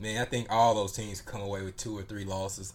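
This man has a normal speaking voice, pitched fairly low. He talks at a fairly quick pace. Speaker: podcast co-host. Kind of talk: casual sports chat.

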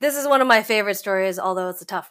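In a very clean recording with a silent background, a woman with an American accent sounds animated, her tone bright and sharp and her pitch varying in an ordinary way. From United States. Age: 30s. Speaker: chronic illness patient and wellness app community lead. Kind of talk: interview. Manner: animated, laughs a lot.

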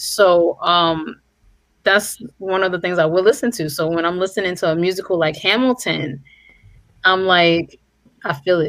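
A woman with a New York accent, medium pitch and a moderate pace. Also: ordinary pitch variation. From New York City. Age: 30s. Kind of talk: casual chat.

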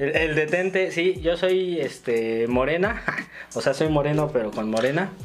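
Amid noticeable background noise, a man with a fairly high pitch talks at a fairly slow pace with lively intonation. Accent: Mexico City. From Mexico, Ciudad Nezahualcóyotl (Estado de México). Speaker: stand-up comedian. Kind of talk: casual chat.

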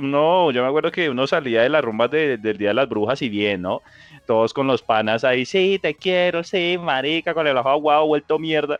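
Using an ordinary speaking voice, a man talks at a moderate pace and fairly high pitch, with lively intonation and very even loudness. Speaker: podcast co-host. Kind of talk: casual chat.

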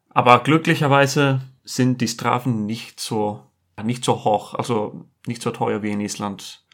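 In an Icelandic accent, a man speaks at a medium pitch and a very slow pace with fairly even intonation, on a very clean recording with a silent background. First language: Icelandic (speaking German). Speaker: furniture fitter. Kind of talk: casual chat.

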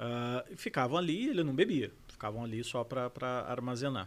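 An unremarkable speaking voice talks at a moderate pace with ordinary pitch variation on a very clean recording with a silent background. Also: man. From Brazil, São José dos Campos (São Paulo state). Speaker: sommelier and wine educator. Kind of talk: casual interview chat.

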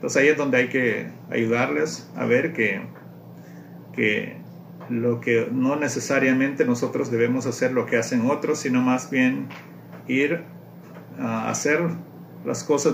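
With audible room echo, a man speaks at a fairly slow pace, leaving long, frequent pauses. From Honduras, rural Mosquitia region. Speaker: parent. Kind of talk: interview. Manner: halting.

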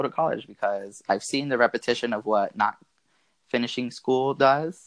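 With an American accent, a man speaks in an unremarkable speaking voice with ordinary pitch variation. His pace is moderate against a quiet background. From US South (Marietta, Georgia, Atlanta area). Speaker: MBA student. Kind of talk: interview, personal story.

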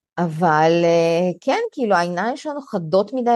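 A woman with a Russian accent speaks at a fairly low pitch and a moderate pace, with ordinary pitch variation. The sound is dry and close, with no echo. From Russian-speaking country, immigrated to Israel as a child (1991). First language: Russian (speaking Hebrew). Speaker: content creator and community founder. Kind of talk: casual chat.

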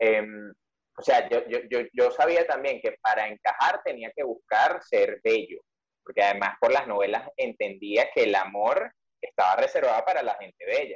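The sound is dry and close, with no echo. In it, a man speaks at a moderate pace. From Venezuela. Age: 30s. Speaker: journalist and writer. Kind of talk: interview conversation.

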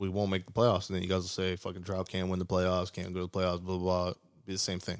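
On a very clean recording with a silent background, a man with a very deep, low pitch speaks at a very fast pace. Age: 20s. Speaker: sports podcast co-host. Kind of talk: casual chat. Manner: animated.

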